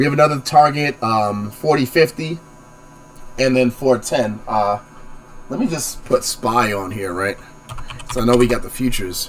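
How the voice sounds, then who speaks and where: Noticeable background noise sits behind a man of medium pitch. His pitch varies in an ordinary way, and he takes long, frequent pauses. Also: moderate pace. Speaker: stock market show host. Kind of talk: live stream market analysis. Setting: live multi-platform stream. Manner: casual, filler-heavy.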